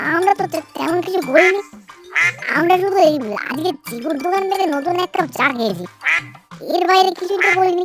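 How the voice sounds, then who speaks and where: A cartoonish character voice at a moderate pace, with faint music in the background. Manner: stammering, defensive.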